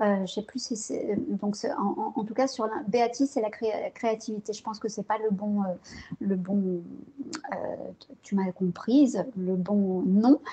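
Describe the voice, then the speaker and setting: This woman has a fairly high pitch and ordinary pitch variation. She talks at a fairly slow pace, with big swings in loudness. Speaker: psychologist and neuroscience researcher. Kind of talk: interview. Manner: soft-spoken; hesitant, many fillers.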